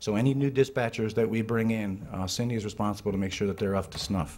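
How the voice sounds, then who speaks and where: The man's pitch varies in an ordinary way. He speaks at a very fast pace. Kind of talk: award presentation speech. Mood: warm, appreciative. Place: meeting room. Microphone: podium.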